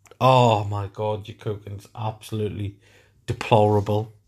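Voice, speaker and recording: In a very clean recording with a silent background, a man with a northern English accent talks at a fairly slow pace. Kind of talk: casual chat. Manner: loud.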